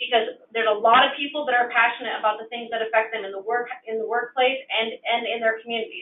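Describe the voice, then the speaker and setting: This woman has a high-pitched voice with an American accent. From Washington state, US. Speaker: nurse, election candidate. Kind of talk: candidate town hall answer. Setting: phone-in town hall. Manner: halting, repeats words.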